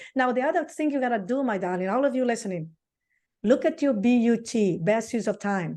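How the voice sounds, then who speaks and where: With a Brazilian accent, a woman speaks at a fairly quick pace in a fairly high pitch with a dark, mellow tone over a quiet background. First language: Portuguese. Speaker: real estate coach. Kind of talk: casual interview chat. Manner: animated.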